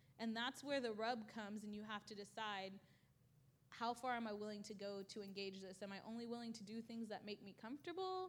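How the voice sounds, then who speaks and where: With an American accent and an ordinary speaking voice, a woman talks at a fairly quick pace. Her pitch is fairly high, with ordinary pitch variation. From Louisiana, then Washington State from high school. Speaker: activist. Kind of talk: interview in church service. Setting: church stage with audience.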